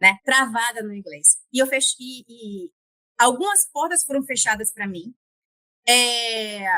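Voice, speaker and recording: At a very slow pace, a woman speaks in a high voice with a bright, sharp tone, the sound dry and close with no echo. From Bahia, Northeast Brazil. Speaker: guest on career podcast, former public health worker. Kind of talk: interview conversation. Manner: halting, frequent repetitions and fillers.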